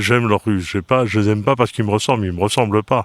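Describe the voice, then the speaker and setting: Over a silent background in a very clean recording, a man with a fairly low pitch talks very fast with fairly even intonation. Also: dry, close sound with no echo. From northern France, Oise. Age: 70s. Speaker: hunting federation president. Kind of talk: interview.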